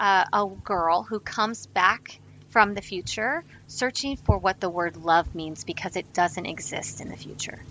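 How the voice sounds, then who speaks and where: A woman speaks at a medium pitch in a normal speaking voice with an American accent, her pitch varying in an ordinary way while her loudness swings widely at a fairly slow pace. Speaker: actress. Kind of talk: interview.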